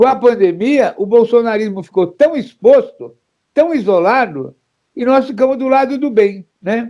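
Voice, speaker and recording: The pace is fairly slow. The tone is dark and mellow. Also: man, extremely high pitch for a man, ordinary pitch variation. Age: 70s. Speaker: political activist and former politician. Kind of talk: political interview. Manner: animated.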